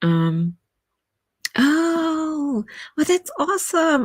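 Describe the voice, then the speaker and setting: A woman with a German accent speaks with very wide swings in pitch. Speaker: writer and streamer. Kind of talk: casual live stream chat. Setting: live stream.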